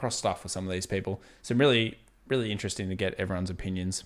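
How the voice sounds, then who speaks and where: Very fast and fairly low-pitched, a man speaks in an Australian accent with a bright, sharp tone on a very clean recording with a silent background. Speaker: YouTuber answering viewer questions about investing. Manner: casual, conversational.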